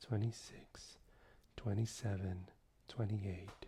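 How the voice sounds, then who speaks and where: A man whispering, soft-spoken and somewhat breathy, at a very slow pace. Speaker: voice analysis software instructor. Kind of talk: software tutorial narration. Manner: soft-spoken, quiet without whispering.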